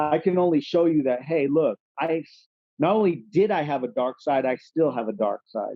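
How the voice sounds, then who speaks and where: An unremarkable speaking voice from a man with an American accent, fairly high in pitch, at a moderate pace. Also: ordinary pitch variation. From California. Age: 30s. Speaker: rapper. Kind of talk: casual chat.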